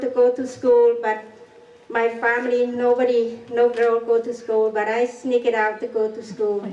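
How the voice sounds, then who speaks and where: A woman with a non-native accent and a high pitch, speaking at a fairly slow pace over noticeable background noise. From Cambodia. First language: Khmer. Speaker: genocide survivor. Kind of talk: public talk. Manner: halting.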